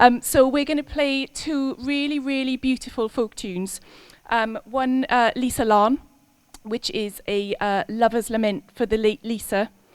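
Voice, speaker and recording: In a Welsh accent, a woman speaks at a fairly slow pace with a high pitch and ordinary pitch variation. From Wales. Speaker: concert musician introducing pieces. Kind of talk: stage introduction to live audience. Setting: live concert with audience. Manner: hesitant, many fillers.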